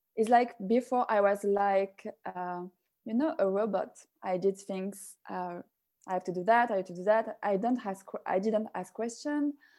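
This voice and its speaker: On a very clean recording with a silent background, a woman with a French accent speaks at a moderate pace in a dark, mellow tone, with medium pitch and ordinary pitch variation. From France. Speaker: personal development facilitator and yoga instructor. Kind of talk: interview. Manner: halting.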